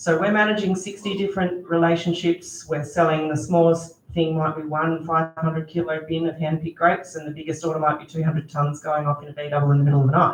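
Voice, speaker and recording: Very fast speech in an Australian accent, with hardly any pauses and noticeable background noise. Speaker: grape grower and family business owner. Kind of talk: panel discussion answer. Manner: loud.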